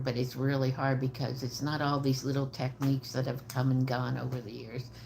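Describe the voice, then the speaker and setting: A woman with an American accent speaks at a moderate pace in a very deep, low pitch, her dark, mellow tone marked by vocal fry and monotone, flat intonation. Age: 70s. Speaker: trauma psychologist and homicide survivor advocate. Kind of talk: livestream talk to viewers. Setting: live video stream. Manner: hesitant, many fillers.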